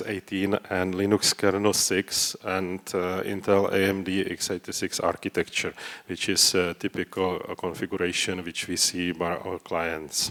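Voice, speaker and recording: With a non-native accent and a very deep, low voice, a man speaks at a moderate pace with hardly any pauses in a dry, close recording with no echo. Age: old. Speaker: database consultant. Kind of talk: conference talk. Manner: halting, many fillers.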